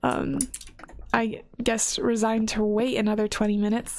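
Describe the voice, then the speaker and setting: A woman mumbles in a relaxed tone. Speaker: gaming content creator. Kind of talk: casual chat. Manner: mumbling; casual, relaxed.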